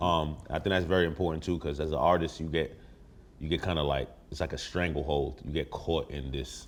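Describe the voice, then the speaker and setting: Speaking at a fairly quick pace in a New York accent, a man shows a very deep, low pitch and vocal fry. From New York (Brooklyn). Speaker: rapper. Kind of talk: casual chat. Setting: in a house with friends over food. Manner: animated.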